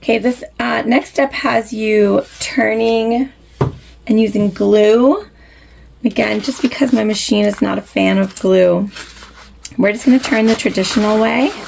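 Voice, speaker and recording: Noticeable background noise runs under this woman's voice. She speaks at a fairly slow pace. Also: fairly high pitch for a woman, ordinary pitch variation. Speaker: sewing tutorial host. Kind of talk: sewing tutorial talk to camera.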